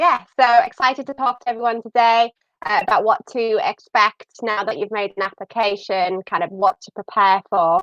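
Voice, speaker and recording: With a northern English accent, a woman speaks at a moderate pace and a fairly high pitch, her intonation lively and her loudness swinging widely, in a dry, close sound with no echo. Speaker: university admissions staff. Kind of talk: live stream presenting.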